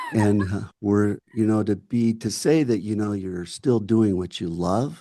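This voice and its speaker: A man with an American accent speaks in a plain, everyday voice. His pitch is fairly low with ordinary variation, and his pace is fairly slow. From US Midwest, Michigan. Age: 60s. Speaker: actor and filmmaker. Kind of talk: casual chat.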